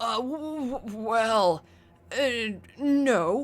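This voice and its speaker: A woman performs in a put-on character voice. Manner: nervous, stammering.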